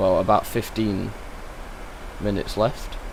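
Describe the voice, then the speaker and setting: Amid noticeable background noise and audible room echo, a man with a British accent talks at a moderate pace. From England. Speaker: flight sim streamer. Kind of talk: live stream commentary. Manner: casual, hesitant with fillers.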